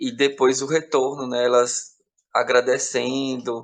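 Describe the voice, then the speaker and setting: Very slowly, a man with a Bahian sertão accent speaks at a medium pitch. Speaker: podcast team member. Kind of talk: casual chat. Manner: halting, with repetitions.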